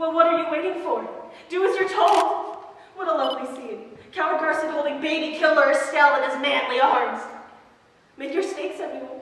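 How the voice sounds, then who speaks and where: Strong room echo surrounds a woman speaking at a moderate pace. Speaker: actor. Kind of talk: theatrical monologue. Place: hall. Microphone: camera far.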